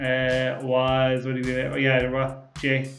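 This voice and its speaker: Music plays in the background as a man speaks with an Irish accent. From Ireland. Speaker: car YouTuber, podcast host. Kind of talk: casual chat reading viewer comments. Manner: sometimes talks fast; mumbles at times, many fillers.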